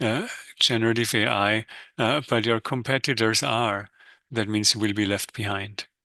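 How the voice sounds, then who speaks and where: A man's medium-pitched, bright and sharp voice with a non-native accent, dry and close with no echo, over a quiet background. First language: not English. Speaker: economics professor. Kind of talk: webinar lecture. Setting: live webinar. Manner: hesitant with frequent fillers.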